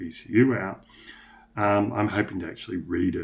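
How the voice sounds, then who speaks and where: A man speaks with an Australian accent. His voice is somewhat breathy. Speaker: motorcycle tuning vlogger. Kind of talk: screen-share tutorial. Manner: casual, hesitant with many fillers.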